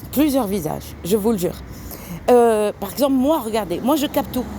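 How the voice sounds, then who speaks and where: Noticeable background noise sits behind a woman's voice. Her pitch is fairly high and her intonation lively. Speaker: tarot card reader vlogger. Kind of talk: casual vlog monologue. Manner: halting, many hesitations; soft-spoken.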